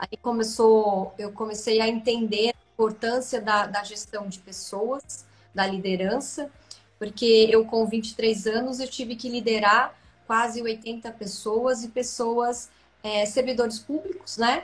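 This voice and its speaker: A woman speaks very slowly in a fairly high, somewhat breathy voice, her intonation fairly even while her loudness swings widely. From Santa Catarina, Brazil (rural interior). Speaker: business executive. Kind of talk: interview on a live stream. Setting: online live stream.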